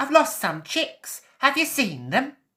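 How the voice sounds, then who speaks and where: In a put-on character voice with a high pitch, someone speaks at a fairly slow pace in a very clean recording with a silent background. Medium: read story. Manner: clucking, motherly.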